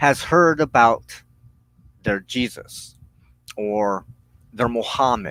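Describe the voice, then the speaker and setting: Speaking very slowly, a man's pitch swings very widely in a dry, close recording with no echo. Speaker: witchcraft practitioner and minister. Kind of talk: weekly broadcast talk on religion.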